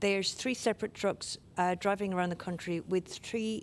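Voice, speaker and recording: Over a silent background in a very clean recording, a woman with an Irish accent speaks at a moderate pace in a monotone, flat intonation. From Ireland. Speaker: workplace safety inspector. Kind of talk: conference presentation.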